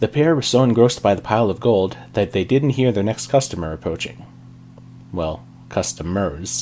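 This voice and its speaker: A man talks at a moderate pace. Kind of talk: fan fiction reading. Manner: no character voices.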